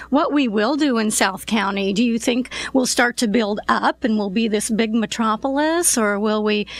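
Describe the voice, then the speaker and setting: Moderate pace and ordinary pitch variation from a woman at a fairly high pitch. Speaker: real estate podcast host. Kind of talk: interview.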